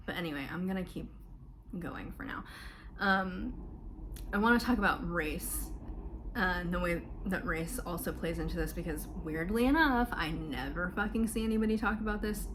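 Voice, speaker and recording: A woman speaks in an American accent, with long, frequent pauses. Room echo is audible, and there is noticeable background noise. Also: moderate pace. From US South, Florida. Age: 20s. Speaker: mental health vlogger. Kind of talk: personal testimony. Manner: casual, many fillers.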